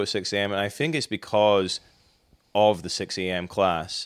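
A man talks at a fairly low pitch with a Scottish accent. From Scotland; Inverness. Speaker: teacher. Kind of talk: casual interview chat.

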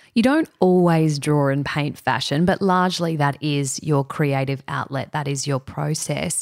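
Her pitch very deep and low, a woman speaks at a fairly slow pace with hardly any pauses. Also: ordinary pitch variation, very clean recording, silent background. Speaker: interviewer. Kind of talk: interview.

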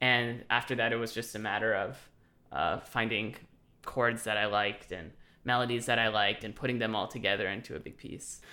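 This man talks at a fairly quick pace in a bright, sharp tone. His pitch is medium and his intonation monotone and flat. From US West Coast, Los Angeles. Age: 20s. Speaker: composer. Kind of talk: casual interview. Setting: video call.

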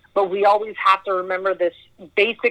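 Talking at a fairly quick pace, a woman with a western Canadian accent has a medium pitch, captured with a dry, close sound and no echo. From Edmonton, Alberta, Canada. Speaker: actor and producer. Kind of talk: casual interview chat.

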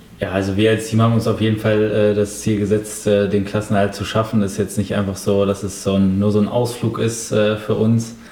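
A man with a fairly low pitch, a moderate pace and monotone, flat intonation, hardly any pauses, and noticeable background noise. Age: 20s. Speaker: professional footballer. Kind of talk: interview.

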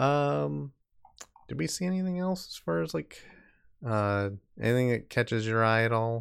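A man with a medium pitch talks at a moderate pace with very wide pitch swings. He leaves long, frequent pauses on a very clean recording with a silent background. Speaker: podcast host. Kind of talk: casual chat. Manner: chatty, laughs often.

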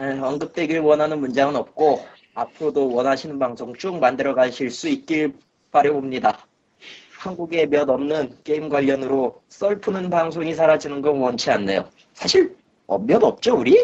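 A man speaks at a moderate pace with a fairly high pitch and ordinary pitch variation. He has a plain, everyday voice. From South Korea, Gwangju. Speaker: podcast co-host. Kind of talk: casual chat.

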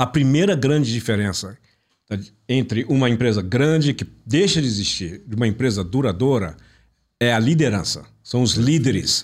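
A man speaks in a normal speaking voice at a moderate pace, his loudness very even throughout. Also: medium pitch for a man, very clean recording, silent background. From Brazil (born in Italy, raised in Brazil from infancy). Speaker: business mentor and consultant. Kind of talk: interview. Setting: studio.

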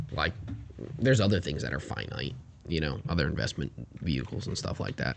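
With vocal fry and a very deep, low pitch, a man leaves long, frequent pauses while his pitch swings very widely. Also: fairly quick pace. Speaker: podcast co-host. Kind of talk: casual chat.

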